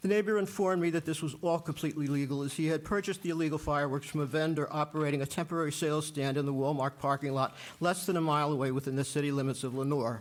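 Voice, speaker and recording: Speaking at a very fast pace with hardly any pauses, a man with a fairly high pitch keeps his intonation fairly even and his loudness very even. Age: 70s. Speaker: citizen addressing city council. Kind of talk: public comment at council meeting. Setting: council chamber. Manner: formal.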